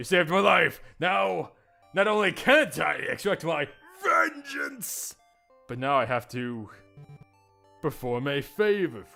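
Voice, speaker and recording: A man puts on a character voice at a fairly high pitch, speaking at a fairly slow pace over faint music in the background. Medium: read story. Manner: haughty, disdainful.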